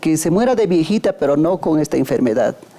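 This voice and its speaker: A woman's fairly low-pitched voice against noticeable background noise. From Peru, Huaraz (Andes). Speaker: son or daughter of a covid survivor. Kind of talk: documentary interview. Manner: halting, with fillers.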